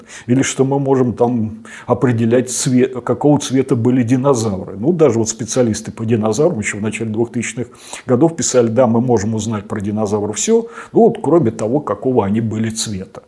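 A man's ordinary pitch variation and fairly quick pace come through noticeable background noise. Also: medium pitch for a man. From Russia, Samara. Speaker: paleontologist and professor. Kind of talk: interview.

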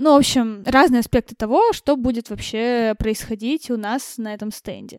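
Speaking in a normal speaking voice at a fairly high pitch, a woman talks at a moderate pace with ordinary pitch variation and hardly any pauses, the sound dry and close with no echo. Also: big swings in loudness. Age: 20s. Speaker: event manager. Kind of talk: casual interview.

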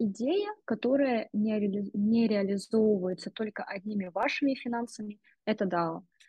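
At a very slow pace, a woman's fairly high, somewhat breathy voice shows ordinary pitch variation. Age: 20s. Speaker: marketing director. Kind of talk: interview.

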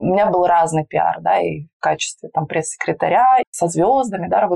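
A woman speaks at a moderate pace with a fairly low pitch and vocal fry. Her tone is dark and mellow, and the sound is dry and close with no echo. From Russia, Urals (Magnitogorsk, Chelyabinsk region). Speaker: PR agency founder. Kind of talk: interview. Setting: face-to-face, not in a studio.

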